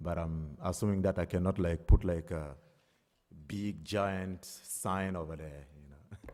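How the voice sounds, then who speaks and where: A man with a non-native accent speaks fairly slowly in a dark, mellow tone, on a very clean recording with a silent background. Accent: foreign. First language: not English. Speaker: applicant. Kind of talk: public hearing testimony. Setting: town board meeting. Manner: hesitant, many fillers.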